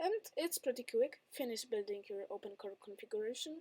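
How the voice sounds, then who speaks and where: A woman with a Polish accent at a fairly quick pace, in a dry, close sound with no echo. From Poland. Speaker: tech youtuber. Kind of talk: tutorial. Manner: halting.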